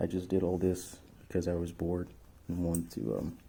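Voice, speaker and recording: A soft-spoken man with a very deep, low pitch, a dark, mellow tone, a somewhat breathy quality and fairly even intonation. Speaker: motorcycle owner, amateur mechanic. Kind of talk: motorcycle repair tutorial. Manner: quiet, soft-spoken.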